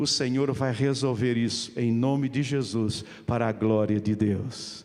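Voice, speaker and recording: A man speaks at a fairly slow pace. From Portugal. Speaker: pastor. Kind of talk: sermon. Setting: church.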